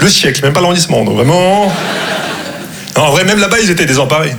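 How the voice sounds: The voice moves fast, with lively intonation and a fairly bright tone. Vocal fry and audible room echo come through. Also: man, fairly high pitch for a man.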